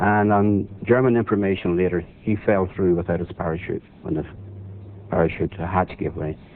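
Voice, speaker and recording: A man talks at a moderate pace with a Northern Irish accent. His pitch is fairly low. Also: fairly even intonation. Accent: Northern Irish (Belfast). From Northern Ireland, Belfast. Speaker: war veteran and author. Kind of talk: interview storytelling.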